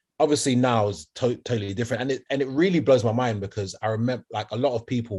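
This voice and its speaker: In a London accent, a man talks very fast with an animated tone, a somewhat breathy voice and ordinary pitch variation. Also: quiet background. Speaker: R&B singer and podcast co-host. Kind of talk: casual chat.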